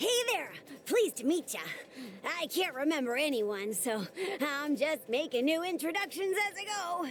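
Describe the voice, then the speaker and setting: This is a put-on character voice at a moderate pace. Clear background noise can be heard. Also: female-sounding voice, high pitch for a woman. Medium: video game. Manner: folksy, upbeat.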